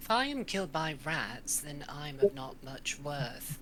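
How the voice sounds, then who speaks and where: A put-on character voice at a low-to-middle pitch moves at a fairly slow pace against clear background noise. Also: big swings in loudness. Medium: actual play. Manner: blunt, terse.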